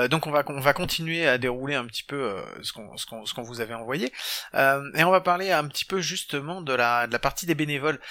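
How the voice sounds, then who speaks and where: This man's fairly high voice has a bright, sharp tone, ordinary pitch variation and a fairly quick pace. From southern France. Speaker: podcast host. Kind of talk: casual chat. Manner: animated.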